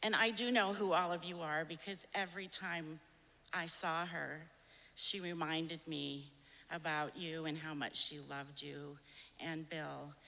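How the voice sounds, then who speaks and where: Speaking at a fairly slow pace with fairly even intonation, a woman with a fairly low pitch has a bright, sharp tone and vocal fry. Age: 60s. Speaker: nurse. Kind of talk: eulogy.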